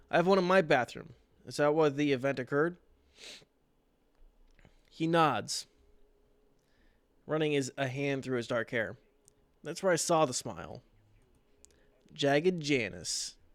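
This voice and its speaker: On a very clean recording with a silent background, a man speaks at a fairly slow pace in a fairly high pitch with ordinary pitch variation and long, frequent pauses. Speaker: story reader, twitch streamer. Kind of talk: horror story reading on a livestream.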